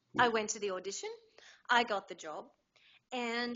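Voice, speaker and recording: This woman talks with an Australian accent. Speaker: voice actor. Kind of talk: interview answer.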